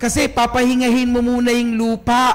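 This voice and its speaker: An extremely high-pitched man amid noticeable background noise. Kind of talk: sermon. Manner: animated.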